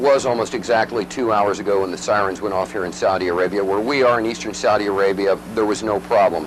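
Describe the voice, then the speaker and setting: Against noticeable background noise, a man with a fairly low pitch speaks at a very fast pace, hardly pausing at all. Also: ordinary pitch variation. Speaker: television war correspondent reporting live. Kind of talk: live broadcast news field report. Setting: reporting from the field during air raid sirens. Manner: hesitant, frequent fillers, uncertain but calm.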